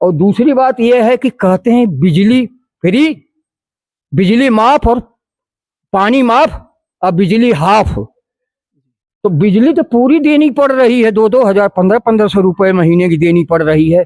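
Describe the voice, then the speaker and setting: A high-pitched man's voice at very even loudness, broken by long, frequent pauses. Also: lively intonation, dry, close sound with no echo. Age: 70s. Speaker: local resident interviewed on the street. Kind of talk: street interview.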